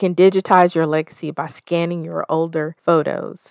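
With an American accent and a fairly low pitch, this woman has a plain, everyday voice, fairly even intonation, and a dry, close sound with no echo. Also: very clean recording, silent background. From US South. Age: 40s. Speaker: podcast host. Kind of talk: solo self-help podcast monologue.

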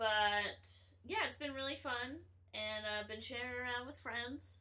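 Audible room echo around a woman's fairly slow speech in an American accent. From north Florida (near Gainesville). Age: 20s. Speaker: guest, former engineer turned performer. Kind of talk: casual chat.

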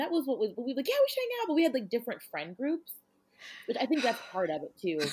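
A woman speaks at a very fast pace in a high voice, her pitch swinging very widely. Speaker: podcast co-host. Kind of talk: casual chat.

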